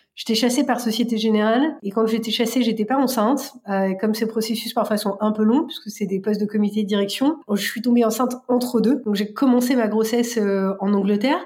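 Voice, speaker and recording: A woman talks at a fairly quick pace with a fairly high pitch. Her tone is dark and mellow, and somewhat breathy. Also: hardly any pauses. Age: 30s. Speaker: bank innovation executive. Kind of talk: testimony. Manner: hesitant with fillers.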